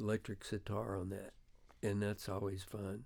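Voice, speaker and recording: A man talks at a moderate pace with a Memphis accent. His pitch sits fairly low. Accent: Southern US (Memphis). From US South, Memphis, Tennessee. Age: 70s. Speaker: veteran rock guitarist. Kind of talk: interview, casual chat. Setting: recording studio.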